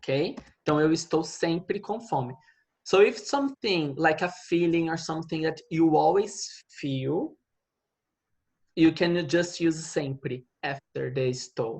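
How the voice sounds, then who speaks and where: Speech moves at a fairly slow pace with a Portuguese accent. The background is quiet. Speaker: Portuguese language teacher. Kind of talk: online language lesson.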